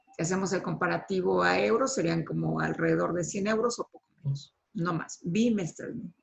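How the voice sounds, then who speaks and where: A woman with a Mexican accent at a moderate pace, hardly any pauses. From Mexico. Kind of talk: online panel discussion.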